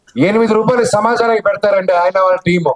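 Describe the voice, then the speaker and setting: In a high register, a man talks with fairly even intonation. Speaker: actor. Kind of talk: speech at a film launch event. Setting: live event on stage.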